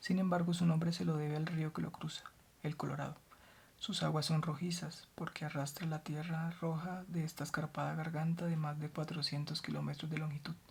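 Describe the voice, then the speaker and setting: Soft-spoken and somewhat breathy, a woman talks in a very deep, low pitch with a calm tone. Her intonation stays flat and monotone at a moderate pace. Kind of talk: soft-spoken ASMR book reading for sleep. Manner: soft-spoken, calm.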